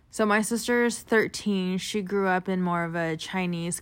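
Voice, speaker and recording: A plain, everyday voice from a woman with a General American accent, fairly slow pace and fairly even intonation. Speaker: guest interviewee. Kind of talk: casual interview.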